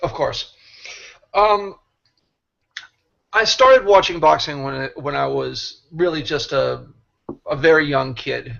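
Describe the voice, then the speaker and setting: A man with an American accent, very slow, with long, frequent pauses. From Boston, US. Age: 60s. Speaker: boxing writer and former manager. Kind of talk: interview.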